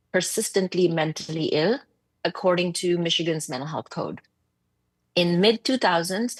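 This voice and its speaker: In a dry, close recording with no echo and a quiet background, a woman with a non-native accent speaks at a moderate pace in a fairly low voice. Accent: foreign. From abroad, developing country. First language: not English. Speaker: psychiatrist, medical officer. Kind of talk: committee testimony. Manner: blunt and passionate; halting, many fillers and repeats.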